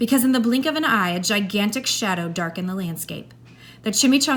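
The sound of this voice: Someone reads in an unforced voice.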